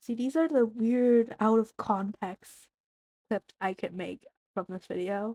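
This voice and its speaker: A woman with a dark, mellow tone and fairly high pitch speaks at a fairly slow pace. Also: ordinary pitch variation. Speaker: art content creator. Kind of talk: casual draw-along chat. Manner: chatty, rambling yapping.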